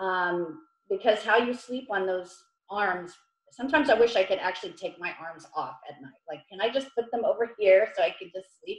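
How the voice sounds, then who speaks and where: Music plays in the background as a woman speaks at a moderate pace and medium pitch. Her loudness swings widely, while her pitch varies in an ordinary way. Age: 50s. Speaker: massage therapist. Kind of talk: online workshop. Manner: hesitant, with many fillers.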